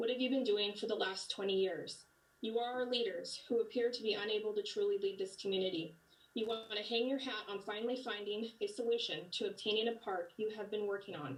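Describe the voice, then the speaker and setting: A woman with an American accent speaks at a fairly quick pace in a fairly high pitch. Her pitch varies in an ordinary way, and it is a normal speaking voice. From Alpine, San Diego County, California. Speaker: community member speaking at public comment. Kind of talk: prepared public comment. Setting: video call. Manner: formal.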